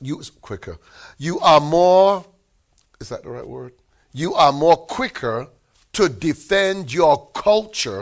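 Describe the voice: A man's fairly high voice at a very slow pace, with long, frequent pauses and big swings in loudness, on a very clean recording with a silent background.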